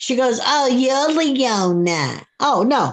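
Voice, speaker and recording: Lively intonation marks a woman's high-pitched voice. The background is quiet. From Brooklyn, New York. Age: 70s. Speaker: live stream commenter. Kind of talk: casual chat. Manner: animated.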